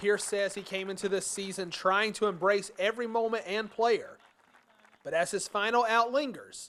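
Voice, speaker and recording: Pitched high, a man talks at a moderate pace with ordinary pitch variation and big swings in loudness. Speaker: TV sports reporter and anchor. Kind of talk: TV sports news reporting.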